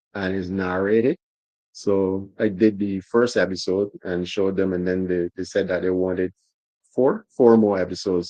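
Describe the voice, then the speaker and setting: A man with a very deep, low pitch and a Barbadian accent. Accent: Barbadian, noticeable. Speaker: motorsport journalist. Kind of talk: casual interview chat. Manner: halting, repeats words.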